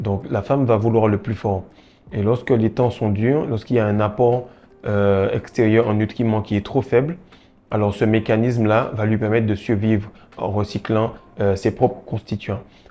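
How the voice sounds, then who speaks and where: Fairly low male voice with a dark, mellow tone, fairly even intonation and a moderate pace. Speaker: self-improvement video creator. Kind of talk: monologue to camera. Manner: hesitant, many fillers.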